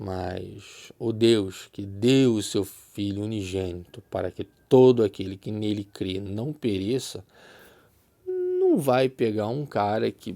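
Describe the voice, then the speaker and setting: A man speaking at a very slow pace, in a very clean recording with a silent background. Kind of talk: religious teaching monologue. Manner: conversational, repetitive.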